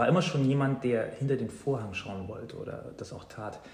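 There is noticeable background noise and audible room echo. Through it, a man speaks at a medium pitch. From Saxony-Anhalt, eastern Germany (Weißenfels near Leipzig). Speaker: teacher and mindfulness coach. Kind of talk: casual interview. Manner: hesitant, many filler sounds.

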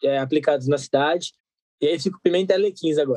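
This man talks at a fairly quick pace in a dry, close recording with no echo. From Brazil, Guarulhos (São Paulo area). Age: 20s. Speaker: actor and theatre director. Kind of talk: casual interview.

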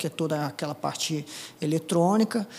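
The man's voice sits at a fairly high pitch. Its pitch varies in an ordinary way. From Paraná, Brazil (Apucarana). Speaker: air force colonel and helicopter pilot. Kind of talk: interview storytelling. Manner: halting, many fillers.

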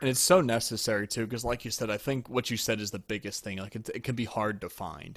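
An unremarkable speaking voice from a man with an American accent, medium pitch, fairly even intonation and a fairly quick pace, on a very clean recording with a silent background. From Pennsylvania, US. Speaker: podcast host and trumpet player. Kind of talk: casual chat.

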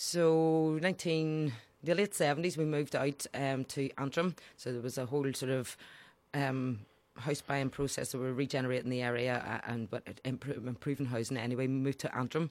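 A woman with a Belfast accent, very deep and low-pitched, at a fairly quick pace. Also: ordinary pitch variation, very clean recording, silent background. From Northern Ireland, west Belfast (Falls Road). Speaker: politician, party leader. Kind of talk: interview. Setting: studio.

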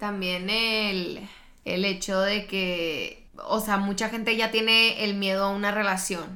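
Her pitch is medium, and this woman speaks at a very slow pace. Her intonation is monotone and flat, with audible room echo. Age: 20s. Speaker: medical student. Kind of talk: casual chat.

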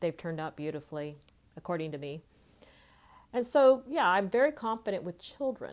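A woman with an American accent, very wide pitch swings, big swings in loudness and long, frequent pauses, in a very clean recording with a silent background. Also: medium pitch for a woman, fairly quick pace. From California. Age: 50s. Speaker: life coach. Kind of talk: solo monologue podcast.

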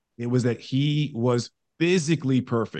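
A man with an American accent and a plain, everyday voice speaks at medium pitch with ordinary pitch variation. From New York. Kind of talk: interview.

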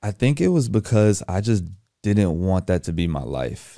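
Recorded very cleanly against a silent background, a dark, mellow voice with an American accent moves at a moderate pace. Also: man. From Texas, Houston. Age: 20s. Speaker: entrepreneur. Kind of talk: interview. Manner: casual.

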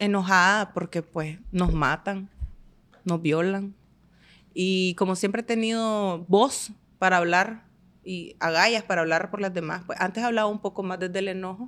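On a very clean recording with a silent background, a woman uses a normal speaking voice at medium pitch, speaking at a fairly slow pace with fairly even intonation. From Nicaragua, Estelí. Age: 30s. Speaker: manicurist and entrepreneur. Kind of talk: podcast interview.

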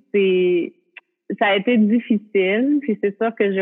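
With music in the background, a woman in a Quebec accent speaks at a fairly slow pace with ordinary pitch variation. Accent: Québécois French. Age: 30s. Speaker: yoga teacher. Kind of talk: casual interview.

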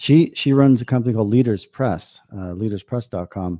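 A man talks in a New York accent. He keeps a moderate pace with ordinary pitch variation. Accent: New York American. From US, New York. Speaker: business consultant. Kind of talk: interview.

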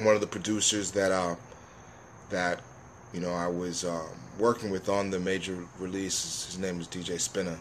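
Speaking with an American accent, a man uses a very deep, low pitch and a monotone, flat intonation. He keeps a moderate pace with long, frequent pauses. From New York, Jamaican family. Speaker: rapper. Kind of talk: casual chat.

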